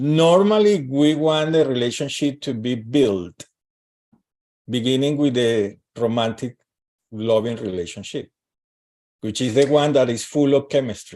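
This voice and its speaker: Speaking at a fairly slow pace, a man uses a medium pitch and lively intonation. His tone is dark and mellow, broken by long, frequent pauses. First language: not English. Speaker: astrologer and relationship coach. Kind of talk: live stream interview. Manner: halting.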